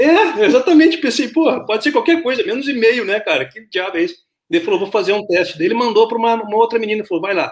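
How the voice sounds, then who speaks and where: At a very fast pace, a man talks in an extremely high voice with very wide pitch swings. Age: 40s. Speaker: podcast host. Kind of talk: interview. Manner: halting.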